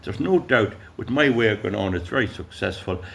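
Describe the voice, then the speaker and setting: In an Irish accent, a man talks at a medium pitch. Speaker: YouTuber. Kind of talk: casual monologue. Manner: loud; halting.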